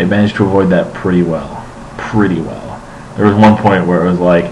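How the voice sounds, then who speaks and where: Light background noise sits behind this man's very deep, low voice. He speaks at a fairly quick pace with fairly even intonation. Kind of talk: casual vlog chat. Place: home room. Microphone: webcam.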